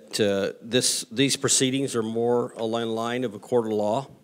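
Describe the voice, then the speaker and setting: Speaking fairly slowly, a man keeps a monotone, flat intonation. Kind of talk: public address remarks. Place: meeting room. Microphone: podium.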